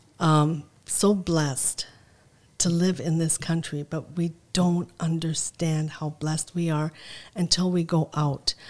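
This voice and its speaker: A woman's fairly low, monotone voice at a fairly slow pace, in a very clean recording with a silent background. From Lebanon (Zahle), moved to Mankato, Minnesota. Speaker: restaurant owner and city mayor. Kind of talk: casual interview conversation.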